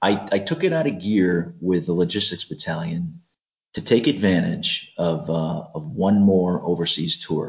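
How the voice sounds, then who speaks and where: At a fairly slow pace, a man with an American accent speaks in a very deep, low pitch with ordinary pitch variation. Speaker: retired Marine and security contractor. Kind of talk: casual interview chat.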